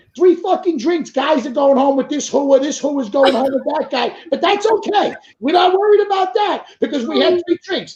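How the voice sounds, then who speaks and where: An extremely high-pitched man speaks at a moderate pace with lively intonation and an animated tone. He hardly pauses at all. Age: 30s. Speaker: talk show host. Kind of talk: casual chat.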